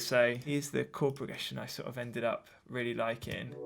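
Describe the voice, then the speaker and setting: The speaker is a man. He has an English accent. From southern England, Brighton. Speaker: music producer. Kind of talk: tutorial. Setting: home studio. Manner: casual, hesitant with fillers.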